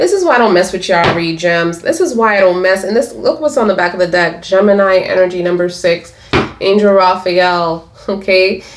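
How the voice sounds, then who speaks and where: A woman's fairly quick speech at a medium pitch, with ordinary pitch variation and very even loudness, over noticeable background noise. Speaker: tarot reader. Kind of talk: tarot reading. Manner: animated.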